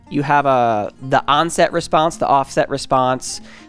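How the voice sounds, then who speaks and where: Faint music plays in the background as a man talks with ordinary pitch variation. The sound is dry, with no echo. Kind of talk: lecture. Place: studio. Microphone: headset.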